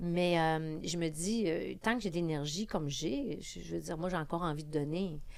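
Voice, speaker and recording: A woman with a Quebec accent speaks at a moderate pace and fairly low pitch, with ordinary pitch variation and hardly any pauses. Audible room echo surrounds her voice. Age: 60s. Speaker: politician. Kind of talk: podcast interview.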